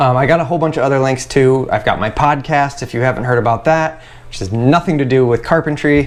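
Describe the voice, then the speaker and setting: Fairly quick and fairly high-pitched, a man's speech plays out against noticeable background noise. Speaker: carpenter and YouTuber. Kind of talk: casual vlog to camera. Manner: fast; animated.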